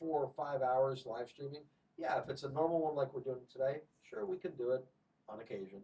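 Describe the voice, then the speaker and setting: Speech runs at a moderate pace with ordinary pitch variation. There is a somewhat breathy quality to it. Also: man. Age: 50s. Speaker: channel co-host. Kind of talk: casual chat. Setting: live stream.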